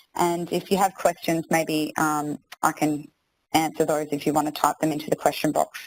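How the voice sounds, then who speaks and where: A woman with an Australian accent, very deep and low in pitch, at a moderate pace in monotone, flat intonation, with a dry, close sound and no echo. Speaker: maths teacher presenting a webinar. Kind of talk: webinar tutorial. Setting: online webinar.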